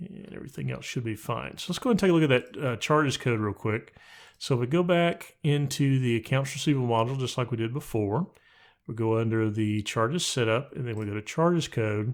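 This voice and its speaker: A man with a medium-pitched voice talks at a very fast pace with lively intonation over a quiet background. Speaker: software tutorial youtuber; software trainer. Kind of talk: tutorial. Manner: casual. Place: home room. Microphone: studio mic.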